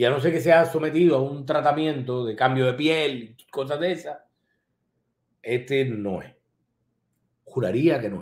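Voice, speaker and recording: A man speaks in an animated tone at a fairly slow pace, with long, frequent pauses and big swings in loudness. Audible room echo surrounds him against a quiet background. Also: ordinary pitch variation. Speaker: online show host and political commentator; live show host. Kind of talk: live-stream commentary reading viewer comments. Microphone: webcam.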